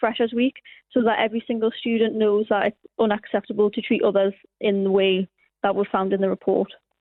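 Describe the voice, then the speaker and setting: With a northern English accent, a woman speaks fairly quickly at a fairly high pitch in a monotone, flat intonation. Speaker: university student. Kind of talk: radio interview.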